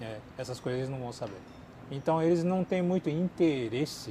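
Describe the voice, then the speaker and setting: A man's somewhat breathy voice, dark and mellow in tone, with lively intonation at a moderate pace. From Japan, with childhood stays in Brazil. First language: Japanese (speaking Portuguese). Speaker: YouTuber and language teacher. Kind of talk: Q&A chat.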